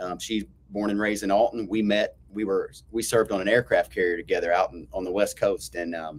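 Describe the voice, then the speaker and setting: This man talks at a fairly quick pace. He has a slight Southern US accent. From US South, Florida Panhandle. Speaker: school principal. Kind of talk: casual chat.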